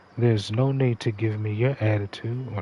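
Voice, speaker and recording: At a moderate pace, a man speaks in a fairly low, somewhat breathy voice with fairly even intonation. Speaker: gaming livestreamer. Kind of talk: casual livestream monologue. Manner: conversational, halting.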